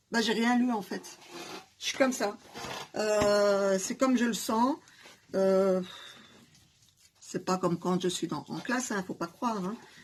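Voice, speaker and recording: At a very slow pace, a woman speaks at a medium pitch with ordinary pitch variation and long, frequent pauses. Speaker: hair and beauty YouTuber, teacher. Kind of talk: casual DIY tutorial chat. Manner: loud.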